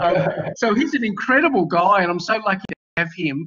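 Pitched high, a man with an Australian accent talks with ordinary pitch variation. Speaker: university lecturer. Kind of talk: class moderation. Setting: video call. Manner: casual. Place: home room. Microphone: webcam.

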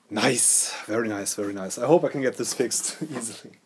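A man talks at a fairly quick pace. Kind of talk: tutorial. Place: workshop.

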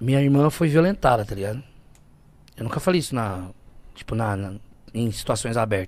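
This man talks at a fairly quick pace with lively intonation. The sound is dry, with no echo. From Brazil, poor urban outskirts. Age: 30s. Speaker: guest. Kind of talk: casual interview, personal testimony. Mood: emotional, earnest storytelling. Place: studio. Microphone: studio mic.

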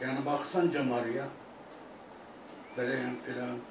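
At a fairly slow pace, a man with an Iraqi accent speaks amid noticeable background noise and audible room echo. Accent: Iraqi Turkmen Turkish. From Iraq (Turkmen). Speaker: singer. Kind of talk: interview answer. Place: home room. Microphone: camera far.

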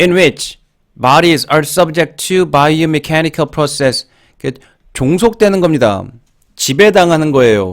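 With lively intonation and long, frequent pauses, a man speaks at a fairly high pitch and a very slow pace. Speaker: English exam-prep teacher. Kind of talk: lecture.

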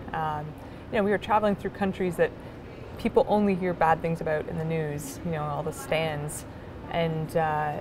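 Amid noticeable background noise, a woman with a fairly low pitch speaks at a fairly quick pace with fairly even intonation. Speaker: interviewee. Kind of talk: interview answer. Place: hall.

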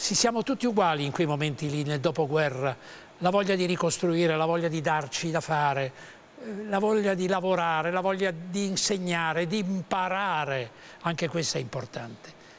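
A man's high-pitched voice at a moderate pace with ordinary pitch variation. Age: 80s+. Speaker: actor and voice actor. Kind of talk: interview answer. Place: studio. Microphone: lapel.

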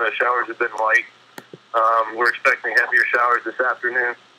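A man speaks over light background noise. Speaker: radio call-in listener. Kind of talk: caller comment on radio show.

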